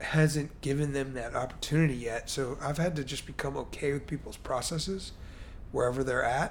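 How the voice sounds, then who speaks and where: A man with an American accent talks at a moderate pace in a fairly high pitch with fairly even intonation. His voice is somewhat breathy, with audible room echo. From US Midwest/Mid-Atlantic (Chicago, Baltimore). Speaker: entrepreneur. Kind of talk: casual interview.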